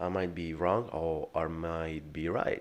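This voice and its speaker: Over a quiet background, a man is speaking. His pace is very slow. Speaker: day trader and video creator. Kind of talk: live trading commentary. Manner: hesitant with many fillers and repetitions.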